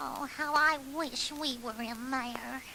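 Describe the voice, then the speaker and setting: A put-on, female-sounding character voice, high-pitched and fairly slow, with clear background noise. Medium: audio drama.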